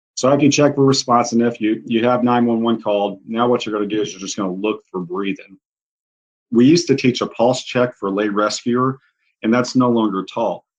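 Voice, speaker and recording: The man's voice sits at a medium pitch, moving at a fairly quick pace with fairly even intonation. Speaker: paramedic and CPR instructor. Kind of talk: tutorial. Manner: fast.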